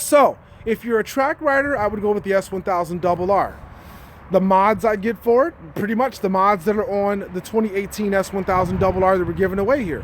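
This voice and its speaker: A man's high-pitched voice with ordinary pitch variation over noticeable background noise. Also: fairly quick pace. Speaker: motorcycle YouTuber. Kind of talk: live stream Q&A chat. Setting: at a motorcycle dealership, partly indoors. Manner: lowered voice indoors.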